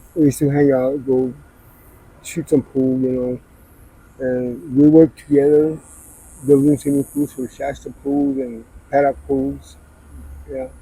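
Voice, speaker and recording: Against noticeable background noise, a man with a fairly high pitch talks at a fairly slow pace in a flat monotone, leaving long, frequent pauses. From Arizona, Scottsdale. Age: 60s. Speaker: person in addiction. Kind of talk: street interview. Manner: soft-spoken.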